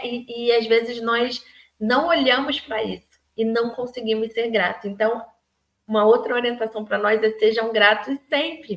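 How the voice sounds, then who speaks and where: At a moderate pace, a woman uses an ordinary speaking voice, fairly high in pitch and fairly even in intonation. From Rio de Janeiro, Brazil. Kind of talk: daily devotional talk to camera. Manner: warm, conversational.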